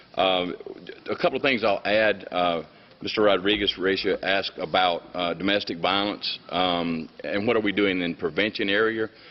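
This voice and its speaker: Here a man speaks with a Southern US accent. His pitch sits fairly low. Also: fairly even intonation, moderate pace. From US South, Mississippi. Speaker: state attorney general. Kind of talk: formal testimony to international committee. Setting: UN council hearing with interpreters. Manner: hesitant with fillers.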